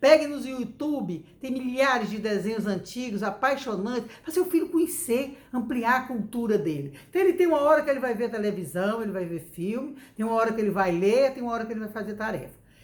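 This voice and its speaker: A woman's fairly high voice with very wide pitch swings, fairly quick and with hardly any pauses. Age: 60s. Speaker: educator giving parenting advice. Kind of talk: talk to camera, parenting advice. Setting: home recording.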